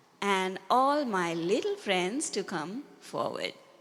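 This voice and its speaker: Speaking in a Sri Lankan accent, a woman uses a gentle tone and a medium pitch. Her delivery is very slow, with lively intonation. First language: Sinhala. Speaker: Buddhist nun teacher. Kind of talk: dharma talk to children. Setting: talk to a group of children. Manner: gentle, slow and simple.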